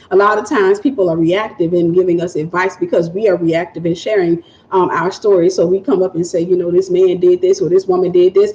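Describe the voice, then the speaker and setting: Against noticeable background noise, a woman speaks at a very fast pace with a medium pitch and fairly even intonation. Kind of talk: livestream chat with viewers.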